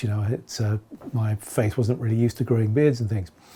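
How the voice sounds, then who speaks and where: A man with an English accent talks at a medium pitch with fairly even intonation. His tone is dark and mellow, and somewhat breathy. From England. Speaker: beard-growing vlogger. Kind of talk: casual video log. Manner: hesitant, many fillers.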